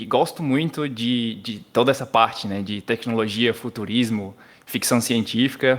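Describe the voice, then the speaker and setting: On a very clean recording with a silent background, a man speaks fairly slowly at a medium pitch with fairly even intonation. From Brazil, Paraíba (João Pessoa). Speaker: software developer. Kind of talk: casual podcast interview.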